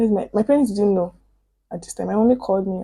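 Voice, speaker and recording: A woman speaks very fast at a medium pitch with ordinary pitch variation. Her voice is somewhat breathy with a dark, mellow tone. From Osun State, Nigeria. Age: 20s. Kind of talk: casual storytime talk to camera.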